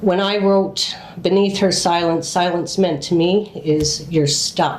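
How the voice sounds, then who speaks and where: A woman's fairly low, fairly even voice at a very slow pace, with audible room echo and noticeable background noise. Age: 60s. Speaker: podcast host and memoir author. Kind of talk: podcast monologue.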